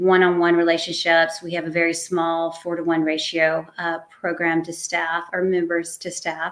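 A woman speaks at a moderate pace and a fairly low pitch, with hardly any pauses. Her intonation is flat and monotone. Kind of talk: interview answer. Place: home room.

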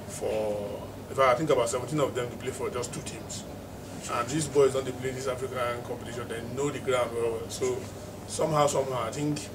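Over noticeable background noise, a man talks at a fairly quick pace with fairly even intonation. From Nigeria. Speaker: football pundit. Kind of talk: football analysis discussion. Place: office.

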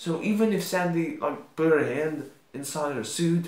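A man's voice carries audible echo from the room. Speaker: video creator. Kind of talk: casual vlog commentary. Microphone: webcam.

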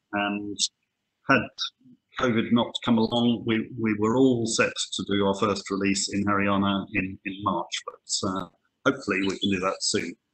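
Speaking in a British accent, a man with a fairly low voice keeps a moderate pace and a monotone, flat intonation. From UK. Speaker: conservation scientist. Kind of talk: webinar lecture. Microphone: webcam.

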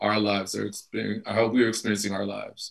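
A man with an American accent speaks at a fairly low pitch in a monotone, flat intonation. The background is quiet. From Chicago, Illinois. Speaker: actor and playwright; actor. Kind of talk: panel discussion. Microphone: video call.

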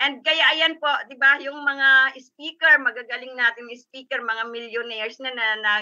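Raised and projected, a woman's high-pitched voice carries a bright, sharp tone at a fairly slow pace with fairly even intonation. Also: quiet background. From Philippines. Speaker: business sharer; guest. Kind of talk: testimony. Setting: video call. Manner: stumbling over words. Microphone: video call.

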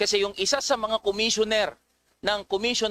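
In a raised, projected voice, a man speaks at a moderate pace with a high pitch and a bright, sharp tone, recorded very cleanly against a silent background with a dry, close sound and no echo. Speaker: legislator questioning witnesses. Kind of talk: legislative hearing cross-examination, pointed and formal. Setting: legislative hearing room. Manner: formal, deferential to chair yet accusatory.

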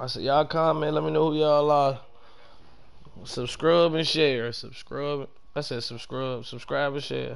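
A man speaks with a plain, everyday voice at a fairly high pitch and a moderate pace. His intonation is fairly even, and his loudness swings widely. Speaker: gaming streamer. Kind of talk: live gameplay stream chat. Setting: home gaming setup, on mic. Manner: casual, profane.

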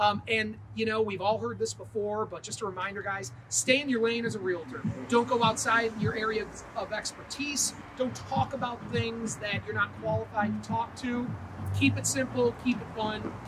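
Noticeable background noise under a man's moderate pace. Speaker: real estate sales manager. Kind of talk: casual training video. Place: street. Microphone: lapel.

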